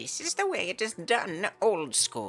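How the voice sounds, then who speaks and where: A female-sounding voice does a put-on character voice at a medium pitch. It moves at a moderate pace over faint music in the background. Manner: grumpy.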